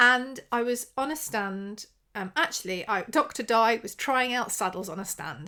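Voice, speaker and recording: In a very clean recording with a silent background, a woman speaks in a bright, sharp tone. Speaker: podcast host, social media PR consultant. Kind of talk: solo podcast talk. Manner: casual, with ums and pauses.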